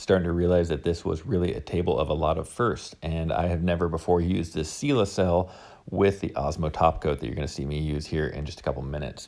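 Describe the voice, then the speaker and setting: On a very clean recording with a silent background, a man with an American accent talks at a very fast pace in a very deep, low pitch. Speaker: woodworker, furniture maker. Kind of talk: voice-over narration of a build video. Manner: casual.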